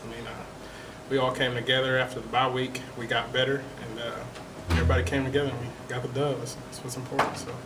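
A man speaks quickly with little pitch movement over clear background noise. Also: medium pitch for a man.

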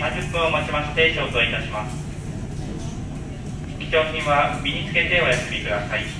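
A man speaks in a room with audible echo, and noticeable background noise runs behind him. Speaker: ship crew announcer. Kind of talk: public address announcement. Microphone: pa.

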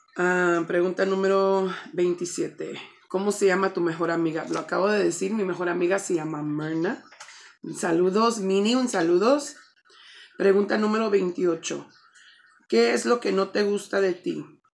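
Talking fairly slowly, the woman shows ordinary variation in pitch. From Chicago, US Midwest, Mexican-American family. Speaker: vlogger. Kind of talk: casual vlog, Q&A tag. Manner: casual, filler-heavy with English code-switching. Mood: relaxed, friendly, a bit shy. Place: home room.

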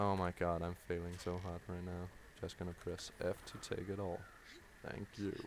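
A man talks at a moderate pace with a Danish accent. His very deep, low voice stays monotone and flat. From Denmark. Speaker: gaming YouTuber. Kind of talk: live gameplay commentary. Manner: halting, many fillers.

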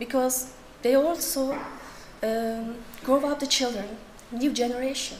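In a Turkish accent, a woman speaks at a fairly slow pace with long, frequent pauses, her high pitch and fairly even intonation set against light background noise. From Turkey. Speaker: writer; conference presenter. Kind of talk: conference talk. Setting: stage with audience. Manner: halting. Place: hall. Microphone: podium.

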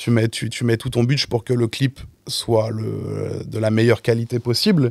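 Against a quiet background, a man talks at a fairly slow pace with fairly even intonation, and the sound is dry with no echo. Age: 20s. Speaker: music video director; guest. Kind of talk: casual chat. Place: studio. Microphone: studio mic.

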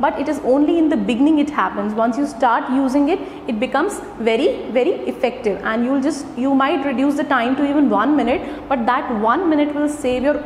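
A woman speaks at a fairly quick pace with a high voice and ordinary pitch variation. There is light background noise and audible room echo. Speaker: presenter. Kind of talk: lecture. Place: classroom. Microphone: camera far.

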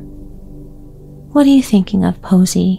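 Over music in the background, a soft-spoken woman with a medium pitch and a soothing tone speaks at a very slow pace. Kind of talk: bedtime story reading. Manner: soft, soothing.

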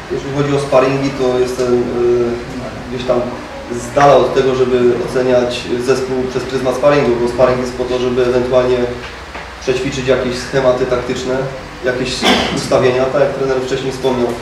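A man with a Polish accent, moderate pace, long and frequent pauses, and monotone, flat intonation, amid noticeable background noise and audible room echo. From Poland. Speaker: football player. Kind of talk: press conference. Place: meeting room.

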